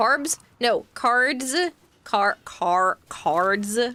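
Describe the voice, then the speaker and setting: Her tone is bright and sharp, with a fairly high pitch and lively intonation. The woman's voice sounds dry and close, with no echo. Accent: American. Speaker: streamer.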